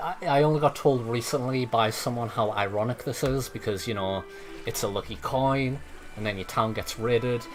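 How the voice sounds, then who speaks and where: There is music in the background as a man speaks at a moderate pace. His medium pitch shows ordinary variation. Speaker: game modder and streamer. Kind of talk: live gameplay commentary.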